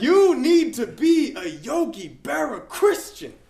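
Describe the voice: Someone puts on a high-pitched character voice in a New York accent, speaking at a fairly slow pace.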